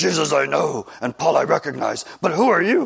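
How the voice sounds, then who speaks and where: A man does a put-on character voice at a fairly high pitch. He growls as he speaks. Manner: menacing, taunting.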